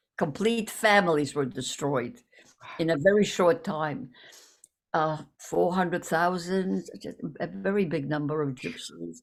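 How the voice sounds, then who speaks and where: A woman's fairly low voice with vocal fry, lively intonation and a fairly slow pace, in a very clean recording with a silent background. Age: 80s+. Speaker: Holocaust survivor and author. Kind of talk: interview testimony. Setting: interview on a show. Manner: halting, many repetitions.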